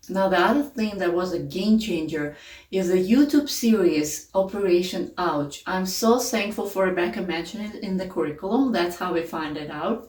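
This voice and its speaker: Over noticeable background noise, a woman with a non-native accent talks at a moderate pace, hardly pausing. Her medium-pitched voice carries lively intonation. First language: not English. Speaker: homeschooling parent, curriculum reviewer. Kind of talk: casual tutorial review.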